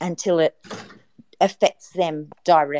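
In an Australian accent, a woman speaks fairly slowly with a fairly low pitch, a dark, mellow tone and ordinary pitch variation, recorded dry and close with no echo. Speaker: activist, YouTuber. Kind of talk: online group discussion.

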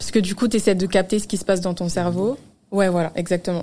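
A woman's voice at a medium pitch. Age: 20s. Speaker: social media manager. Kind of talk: casual chat.

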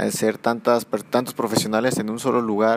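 Noticeable background noise sits behind a man's voice. He talks at a medium pitch and a moderate pace. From Salamanca, Guanajuato, Mexico. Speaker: podcast host. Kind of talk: casual interview. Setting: gym after training.

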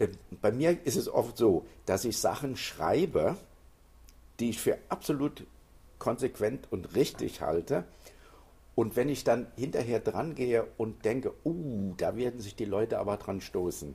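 A man speaks somewhat breathily at a fairly slow pace, leaving long, frequent pauses. His medium-pitched voice has a dark, mellow tone and lively intonation. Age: 70s. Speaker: author. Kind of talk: interview. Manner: hesitant, with frequent fillers.

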